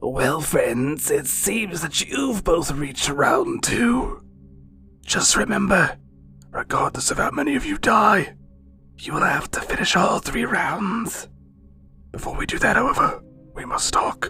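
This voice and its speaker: A raspy, put-on character voice at a fairly slow pace, broken by long, frequent pauses. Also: man, high pitch for a man. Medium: audio drama.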